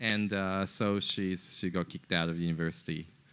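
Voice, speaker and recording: On a very clean recording with a silent background, the speaker uses monotone, flat intonation at a moderate pace in a Japanese accent. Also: man. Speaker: entrepreneur. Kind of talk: podcast interview. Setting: in person in a co-working space. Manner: halting, many fillers and repetitions.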